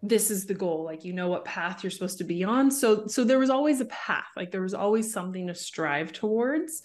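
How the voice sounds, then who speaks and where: Here a woman talks with a Canadian accent in a normal speaking voice. Her pace is moderate, with ordinary pitch variation. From Canada, Vancouver suburbs. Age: 30s. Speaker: social media marketing coach. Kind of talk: interview.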